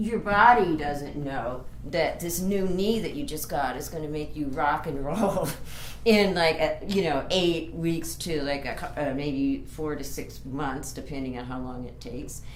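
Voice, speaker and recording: A woman's very deep, low voice at a fairly slow pace with ordinary pitch variation, amid noticeable background noise and audible room echo. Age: 60s. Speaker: author. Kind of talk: tutorial. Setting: home bedroom. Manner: casual.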